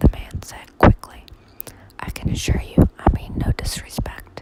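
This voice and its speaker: Against noticeable background noise, a whisper moves at a fairly slow pace. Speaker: ASMR reader. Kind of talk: whispered audiobook reading of a mystery novel. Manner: whispered.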